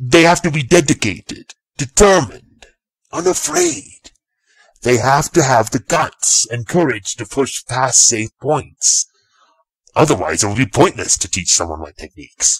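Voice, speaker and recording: A man puts on a character voice. His pitch is medium and his pace moderate. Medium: read story. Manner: measured, serious.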